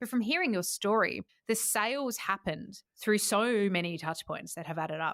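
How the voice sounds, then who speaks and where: A woman with an Adelaide Australian accent, medium in pitch, at a moderate pace with lively intonation. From Australia, Adelaide. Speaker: podcast host. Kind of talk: interview conversation. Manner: animated.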